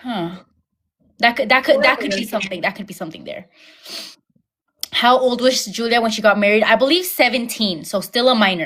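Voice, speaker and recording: A woman with a fairly high pitch and lively intonation talks at a fairly quick pace, leaving long, frequent pauses as her loudness swings widely. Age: 20s. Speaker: YouTuber, livestream host. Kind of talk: casual chat. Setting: YouTube livestream.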